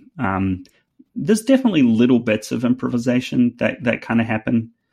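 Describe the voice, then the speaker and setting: The speaker is a man. He has a New Zealand accent. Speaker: fiddle player. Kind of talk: interview, podcast chat.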